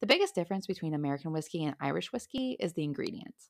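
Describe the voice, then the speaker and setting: A woman with a very deep, low pitch speaks in an animated tone on a very clean recording with a silent background. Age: 30s. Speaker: solo podcast host. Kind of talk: casual solo podcast monologue. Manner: animated, laughs often.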